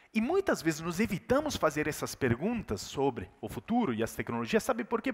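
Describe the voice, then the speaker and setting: In an Italian accent, the speaker talks at a fairly quick pace with an animated tone and very wide pitch swings. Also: man. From Italy. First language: Italian (speaking Portuguese). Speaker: keynote speaker. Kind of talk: keynote talk.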